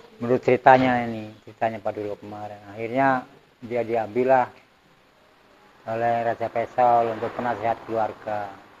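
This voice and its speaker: His delivery is monotone and flat, at medium pitch and a moderate pace, while his loudness swings widely. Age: 70s. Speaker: village elder recounting community history. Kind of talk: oral history interview. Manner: conversational, meandering.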